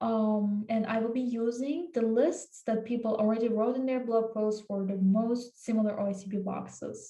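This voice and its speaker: A woman's fairly high, somewhat breathy voice with a dark, mellow tone and ordinary pitch variation. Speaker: cybersecurity tutorial YouTuber. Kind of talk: tutorial. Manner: casual, many filler words.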